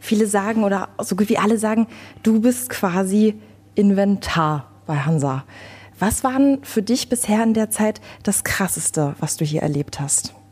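With a dark, mellow tone, a woman speaks at a medium pitch and a moderate pace, somewhat breathy, with ordinary pitch variation. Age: 20s. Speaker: radio podcast host. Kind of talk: interview.

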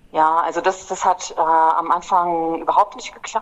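A woman speaks at a fairly low pitch and a fairly slow pace. Noticeable background noise is present. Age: 40s. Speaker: climate activist, former prisoner. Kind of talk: interview.

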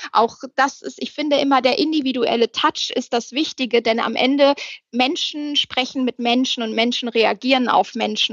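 A woman's high voice holds fairly even intonation while she talks at a moderate pace. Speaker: HR manager. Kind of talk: casual interview. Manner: loud.

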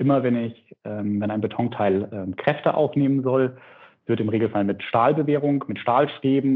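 A man's medium-pitched delivery comes at a moderate pace, with ordinary pitch variation, in a plain, everyday voice. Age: 30s. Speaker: startup CEO. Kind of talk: interview. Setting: remote call. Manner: frequent filler sounds.

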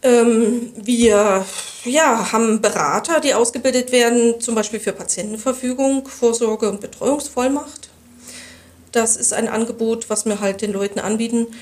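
With noticeable background noise behind her, a woman speaks at a fairly slow pace and fairly high pitch with fairly even intonation. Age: 50s. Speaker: hospice association chairwoman. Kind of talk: interview. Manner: halting, many fillers.

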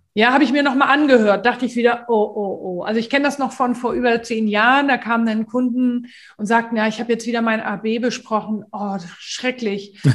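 Using an ordinary speaking voice, a woman talks at a fairly quick pace with a fairly high pitch and fairly even intonation. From northern Germany, Hamburg. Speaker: voice coach. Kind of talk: casual chat.

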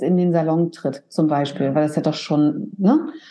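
A woman's calm tone with ordinary pitch variation. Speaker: hairdresser and salon owner. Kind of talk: casual interview. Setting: video call from her salon.

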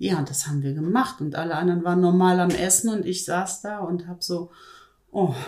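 A woman with an unremarkable speaking voice, fairly low pitch, ordinary pitch variation and a fairly quick pace. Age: 50s. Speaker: weight-loss program participant. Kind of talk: interview. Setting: studio, in person.

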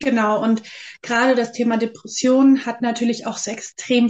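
A woman with a fairly high-pitched voice keeps to a moderate tempo. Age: 30s. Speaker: aspiring psychological counsellor. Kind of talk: interview. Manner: hesitant, many filler sounds.

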